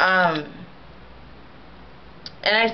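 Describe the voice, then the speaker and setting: Against noticeable background noise, a woman with a medium pitch speaks with a slight St. Louis accent. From US Midwest, St. Louis, Missouri. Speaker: vlogger. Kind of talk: casual video response monologue. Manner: rambling, many filler ums.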